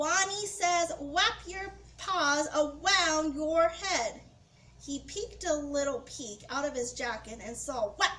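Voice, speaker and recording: Using a squeaky, high-pitched put-on character voice, a woman talks at a fairly slow pace. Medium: read story.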